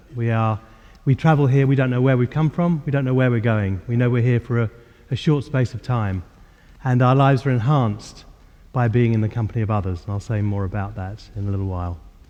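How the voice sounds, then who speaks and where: A man with a London accent talks at a very fast pace in a medium pitch, his dark, mellow tone carrying ordinary pitch variation. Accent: southern English (London). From England, north-west London. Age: 60s. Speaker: spiritual teacher. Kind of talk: lecture. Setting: church hall with audience. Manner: halting, with many fillers.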